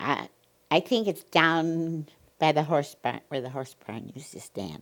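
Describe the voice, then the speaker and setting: This woman has a very deep, low pitch and a Midwestern American accent. She talks at a fairly slow pace with ordinary pitch variation. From US Midwest, northern Illinois. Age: 90s. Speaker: oral history narrator. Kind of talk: oral history interview. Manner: halting.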